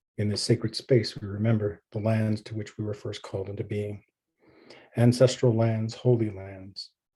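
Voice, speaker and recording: A man's fairly low, somewhat breathy voice with a dark, mellow tone, big swings in loudness, a moderate pace and monotone, flat intonation. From Canada, Stoney Nakoda (Assiniboine) community. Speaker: pastor and theologian. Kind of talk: presentation with prayer and land acknowledgement. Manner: measured, reverent.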